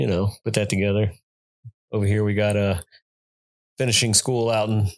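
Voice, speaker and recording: A man with a Texan accent talks in a fairly low voice at a moderate pace, keeping his intonation fairly even. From Texas, Austin. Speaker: Marine veteran, irrigation business owner. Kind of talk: casual interview chat.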